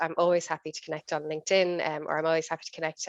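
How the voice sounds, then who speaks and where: Heard in a dry, close sound with no echo, a woman speaks with an Irish accent at a fairly low pitch. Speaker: business executive, workshop speaker. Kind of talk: online workshop talk. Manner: fast; intense.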